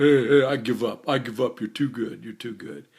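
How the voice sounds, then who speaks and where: Putting on a character voice in a Bronx accent, a man speaks gravelly at a medium pitch and a moderate pace. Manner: giving up, comically beaten.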